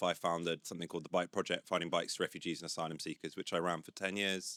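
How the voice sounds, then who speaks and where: A man speaks loudly in a bright, sharp tone with fairly even intonation. The sound is dry and close with no echo, on a very clean recording with a silent background. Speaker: impact investor. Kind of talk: panel discussion.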